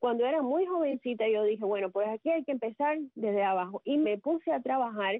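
Her voice is fairly high, with lively intonation and very even loudness. The woman speaks at a fairly quick pace with hardly any pauses. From Cuba, Sagua la Grande. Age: 50s. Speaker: communicator and public relations professional. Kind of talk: radio interview. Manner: talkative.

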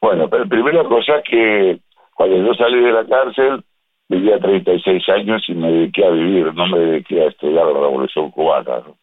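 A man's voice swings very widely in pitch. His loudness also shifts in big swings. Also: medium pitch for a man, moderate pace. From Uruguay. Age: 70s. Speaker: writer. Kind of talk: interview. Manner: hesitant, many fillers.

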